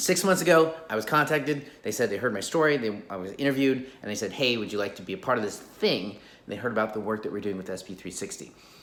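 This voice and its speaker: A man talks at a very fast pace with hardly any pauses, lively intonation and big swings in loudness. Room echo is audible. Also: medium pitch for a man. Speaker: vlogger and abuse survivor. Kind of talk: casual vlog. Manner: halting, repetitive.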